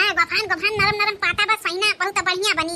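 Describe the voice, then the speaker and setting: In a cartoonish character voice, a woman speaks at a moderate pace in a squeaky, extremely high pitch with monotone, flat intonation and very even loudness, the sound dry and close with no echo over clear background noise. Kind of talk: rustic village comedy. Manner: brisk, homely dialect speech.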